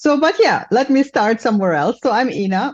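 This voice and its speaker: A woman with a slight German accent speaks at a moderate pace, her pitch swinging very widely against a quiet background. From Germany, Mainz near Frankfurt. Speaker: business support entrepreneur. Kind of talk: podcast interview.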